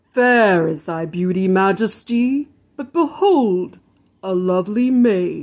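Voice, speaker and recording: A put-on character voice from a woman, medium in pitch, delivered at a very slow pace. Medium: read story.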